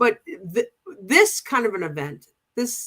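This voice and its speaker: A woman in a Boston accent, with lively intonation. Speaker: pride organization co-president. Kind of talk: casual chat. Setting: livestream show. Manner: halting, many restarts.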